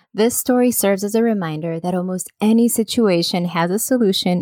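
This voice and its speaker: A woman speaks at a medium pitch and a fairly quick pace, with ordinary pitch variation. The recording is very clean, with a silent background and a dry, close sound with no echo. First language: Spanish. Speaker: podcast host, small business owner. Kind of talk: scripted solo podcast narration.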